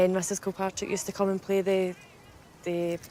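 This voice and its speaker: A woman with a Scottish accent speaks at a medium pitch and a very fast pace. Her delivery is monotone, with flat intonation. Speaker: former schoolmate. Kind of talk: casual reminiscing chat.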